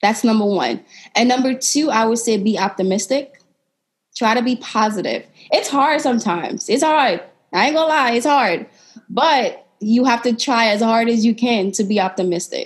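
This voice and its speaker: Fairly high in pitch, a woman with an American accent speaks at a moderate pace with ordinary pitch variation. Her loudness stays very even. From Sierra Leone. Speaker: podcast host and entrepreneur. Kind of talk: interview.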